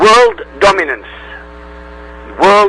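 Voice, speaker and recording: Against noticeable background noise, a man with an Arabic accent talks at a fairly slow pace. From Middle East. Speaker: independent religion researcher, YouTuber. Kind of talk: radio interview.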